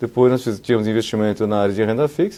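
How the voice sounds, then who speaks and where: With a dark, mellow tone, a man speaks at medium pitch with ordinary pitch variation. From Brazil, São Paulo (born in South Korea, arrived age 7). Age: 50s. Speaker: insurance executive. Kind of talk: oral history interview.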